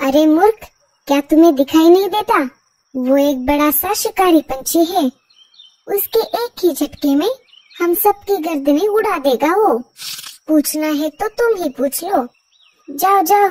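The voice is a cartoonish character voice that sounds female, pitched extremely high. It moves at a moderate pace but breaks into long, frequent pauses. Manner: snappy, dismissive.

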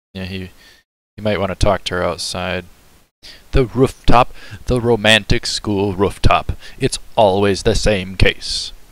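Speaking fairly slowly with long, frequent pauses, a man talks at a fairly low pitch in a dry sound with no echo. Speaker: reaction streamer. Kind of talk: casual reaction commentary. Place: home room. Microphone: headset.

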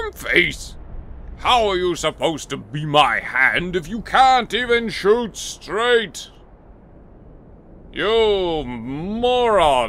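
A man's high voice at a very slow pace, with very wide pitch swings and long, frequent pauses. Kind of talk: comic overacting. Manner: blustering, jolly then paranoid.

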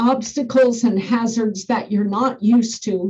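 A woman speaks with a dark, mellow tone at a fairly slow pace. The background is quiet. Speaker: school bus driver trainer. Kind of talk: lecture. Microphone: webcam.

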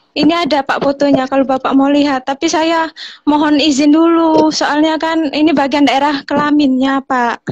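Against a quiet background, a woman with a high voice speaks in a flat monotone at a very even loudness, with hardly any pauses. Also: moderate pace. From East Java. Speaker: mother seeking aid; guest. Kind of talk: emotional call-in appeal. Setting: video call. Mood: hesitant, polite, asking permission. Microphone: video call.

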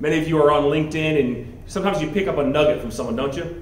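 Ordinary pitch variation is heard along with audible room echo and light background noise. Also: man. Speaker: guest. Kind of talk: speech to an audience. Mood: warm, reflective. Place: hall. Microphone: handheld.

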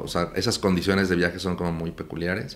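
A man with a very deep, low voice talks fairly quickly with fairly even intonation. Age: 50s. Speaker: talent manager; guest. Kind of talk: casual interview. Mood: relaxed, reflective. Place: studio.

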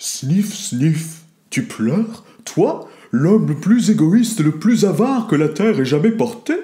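Fairly slow speech in a put-on character voice pitched in the middle range. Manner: mocking.

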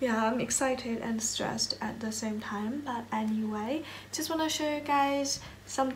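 A woman speaks in a high voice with ordinary pitch variation over light background noise. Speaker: fashion student vlogger. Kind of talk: casual vlog chat. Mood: excited but stressed. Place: home room. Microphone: phone near.

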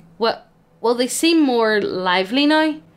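Using a put-on character voice, a woman speaks at a fairly slow pace, high-pitched and shaky, with very wide pitch swings. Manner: unsure, shaky.

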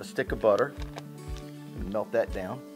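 Music can be heard clearly in the background. A man's voice comes over it. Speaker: home cooking show host. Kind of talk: tutorial. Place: kitchen.

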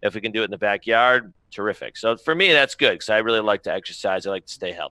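With hardly any pauses, a man talks at a very fast pace, the sound dry with no echo over a quiet background. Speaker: remote guest. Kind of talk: interview answer. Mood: upbeat, enthusiastic. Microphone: headset.

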